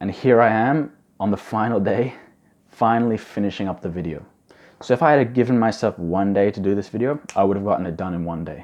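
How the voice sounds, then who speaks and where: Over a quiet background, a man with a fairly low pitch talks at a fairly quick pace with ordinary pitch variation. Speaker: study advice youtuber. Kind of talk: tutorial. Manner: fast; casual.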